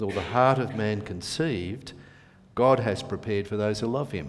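This is an unremarkable speaking voice, a man's at fairly low pitch with ordinary pitch variation. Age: 60s. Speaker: preacher. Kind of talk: prayer; sermon. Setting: church.

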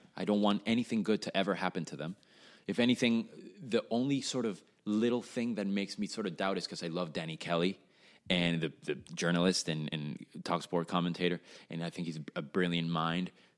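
Very deep, low-pitched male voice on a very clean recording with a silent background. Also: ordinary pitch variation, fairly quick pace. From Venezuela, Caracas. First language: Spanish. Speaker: musician, drummer. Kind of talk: casual chat.

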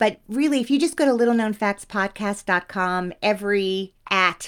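A woman talks in a normal speaking voice with an American accent, at a fairly slow pace. The recording is very clean, with a silent background. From New Jersey (Teaneck). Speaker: actress and podcast host. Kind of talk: interview conversation.

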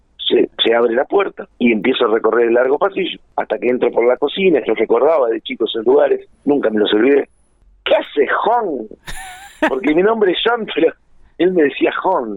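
A man talks with a Rioplatense accent at a moderate pace. His loudness stays very even. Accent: Argentine Rioplatense Spanish. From Argentina, Buenos Aires province (Junín). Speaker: musician and music producer. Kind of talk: interview. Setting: phone call.

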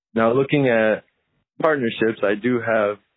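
With an American accent, a man uses an ordinary speaking voice at a medium pitch and a moderate pace. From Connecticut. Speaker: aspiring investor, listener voicemail. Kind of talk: voicemail question. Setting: phone voicemail.

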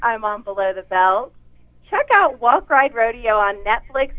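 A woman speaks at a moderate pace. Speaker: actress. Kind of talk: interview.

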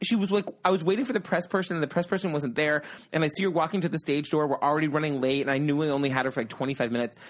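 A man speaks at a very fast pace with hardly any pauses, his pitch fairly high with ordinary variation. His loudness stays very even against a quiet background. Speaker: podcast host. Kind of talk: casual chat.

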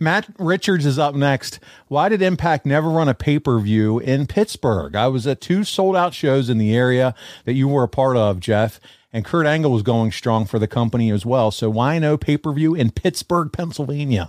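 A man talks in an ordinary speaking voice at a medium pitch, with very even loudness. The recording is very clean, with a silent background. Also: lively intonation, moderate pace. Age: 40s. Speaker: podcast host. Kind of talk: casual chat; ad read. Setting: studio.

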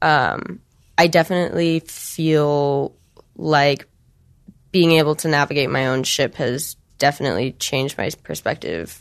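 A woman with an American accent speaks at a fairly slow pace. Her voice is very deep and low, over a quiet background. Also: ordinary pitch variation. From Michigan, US Midwest. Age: 20s. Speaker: adult film performer and director. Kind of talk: interview.

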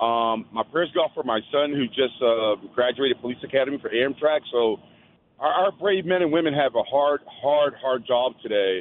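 A man with a Philadelphia accent, fairly high pitch, ordinary pitch variation and a moderate pace. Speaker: caller. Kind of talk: phone-in call to radio show. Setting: phone call. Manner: halting.

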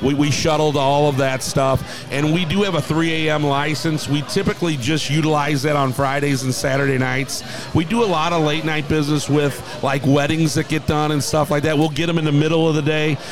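A man with an American accent talks at a fairly quick pace with a fairly high pitch and fairly even intonation. His loudness stays very even over noticeable background noise. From St. Louis, Missouri. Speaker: bar owner. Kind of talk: interview. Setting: live radio remote at a bar.

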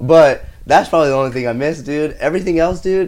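In an ordinary speaking voice, a man talks with an American accent at a fairly quick pace with ordinary pitch variation. The recording is very clean, with a silent background. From El Paso, Texas. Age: 20s. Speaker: podcast guest. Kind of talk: casual chat.

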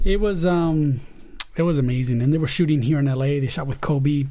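A man's fairly high-pitched voice with a dark, mellow tone, ordinary pitch variation, a moderate pace, long, frequent pauses and audible room echo. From Spain, then San Diego from age 14. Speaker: Steadicam operator. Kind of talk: casual chat.

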